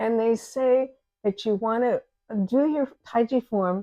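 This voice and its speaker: A woman's voice, fairly high in pitch with a dark, mellow tone, ordinary pitch variation and a very slow pace, in a dry, close sound with no echo. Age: 80s+. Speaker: tai chi teacher. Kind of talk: interview. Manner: halting.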